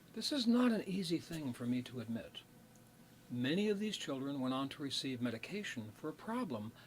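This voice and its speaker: Somewhat breathy, a man speaks at a moderate pace in a fairly high pitch that makes very wide swings. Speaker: clinical psychologist. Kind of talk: personal talk to camera.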